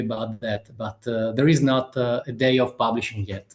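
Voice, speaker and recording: A man with an Italian accent at a moderate pace. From Italy. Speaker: author. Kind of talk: interview. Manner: halting, many fillers.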